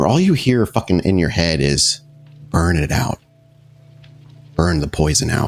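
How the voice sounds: Faint music plays behind a man doing a put-on character voice, very deep, low and guttural. He speaks at a moderate pace with lively intonation and long, frequent pauses.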